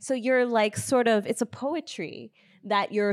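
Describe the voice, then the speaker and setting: A woman with an American accent and a normal speaking voice talks at a fairly quick pace with ordinary pitch variation. The sound is dry and close, with no echo. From United States, Ghanaian family. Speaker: filmmaker. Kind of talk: panel discussion.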